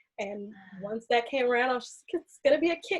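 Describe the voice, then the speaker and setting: A woman with an American accent speaks at a fairly quick pace in a somewhat breathy voice. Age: 20s. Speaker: aerial artist and clinical researcher. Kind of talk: podcast interview.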